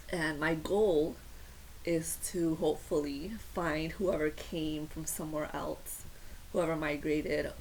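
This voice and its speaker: A woman with a Spanish accent at a fairly slow pace, amid audible room echo. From Puerto Rico, Morovis. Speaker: YouTuber. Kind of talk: casual vlog talk.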